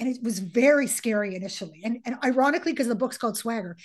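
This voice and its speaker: This woman talks at a very fast pace with a fairly high pitch. Her pitch varies in an ordinary way. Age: 50s. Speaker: author and coach. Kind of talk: casual interview. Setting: podcast interview.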